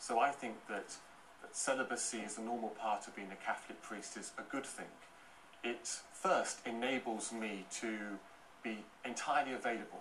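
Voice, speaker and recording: With light background noise behind him, a man speaks at a moderate pace with fairly even intonation and big swings in loudness. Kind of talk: TV panel debate. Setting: TV studio. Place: studio.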